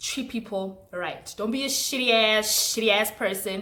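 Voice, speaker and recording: A woman with a South African accent, animated, bright and sharp in tone, at a fairly slow pace. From South Africa, Mpumalanga. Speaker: YouTuber. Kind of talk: casual chat. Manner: loud.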